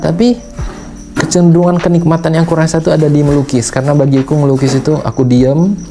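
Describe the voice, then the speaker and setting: Noticeable background noise sits behind a man speaking at a fairly quick pace with ordinary pitch variation. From Sumatra, Indonesia. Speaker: painter and vlogger. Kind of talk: casual talk to camera, advice. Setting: painting studio. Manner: casual, conversational.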